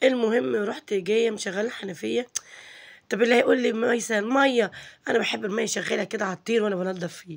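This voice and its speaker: The voice moves at a fairly quick pace and carries vocal fry. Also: woman, fairly high pitch for a woman, ordinary pitch variation. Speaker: home cooking vlogger. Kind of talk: casual vlog narration. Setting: home kitchen.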